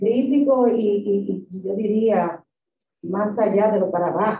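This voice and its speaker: A woman's somewhat breathy, medium-pitched voice at a fairly slow pace, with audible room echo and light background noise. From Dominican Republic. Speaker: professor. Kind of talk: lecture. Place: hall.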